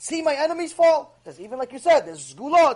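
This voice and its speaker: A man at a very fast pace, passionate and animated in tone. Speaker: Torah teacher. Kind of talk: lecture. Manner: loud, passionate.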